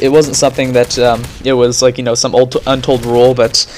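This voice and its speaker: Music plays in the background as a man with a medium pitch talks at a very fast pace. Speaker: gaming commentator. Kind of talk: gameplay commentary. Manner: stuttering, halting; casual, filler-heavy.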